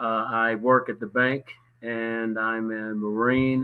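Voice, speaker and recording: A man with an American accent. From Charlotte, North Carolina. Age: 50s. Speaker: bank worker and Marine veteran, panel guest. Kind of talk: panel discussion.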